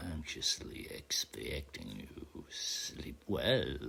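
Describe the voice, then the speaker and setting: A man whispers very slowly in a put-on character voice. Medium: read story. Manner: formal, measured.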